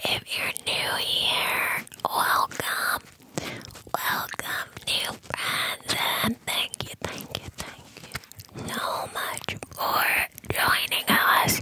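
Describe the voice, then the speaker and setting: Whispering at a very slow pace, a woman comes through dry with no echo over noticeable background noise. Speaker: ASMR channel host. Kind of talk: whispered ASMR chat to viewers. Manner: deep close-mic whisper, hand-cupped. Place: home room. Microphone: studio mic.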